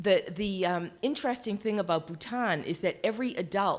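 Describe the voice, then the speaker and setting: A woman with a Boston accent on a very clean recording with a silent background. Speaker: healthcare quality leader, keynote speaker. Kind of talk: conference keynote talk. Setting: stage with audience, webcast.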